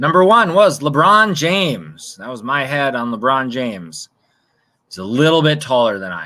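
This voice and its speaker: Using a Minnesotan accent, a man with a bright, sharp tone and fairly high pitch speaks at a moderate pace, his pitch swinging very widely and his loudness shifting a great deal. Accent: Minnesota. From US Midwest, Minnesota (Osseo, near Minneapolis). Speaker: trivia quiz host. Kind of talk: live-stream trivia quiz. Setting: outdoors on home patio, live stream.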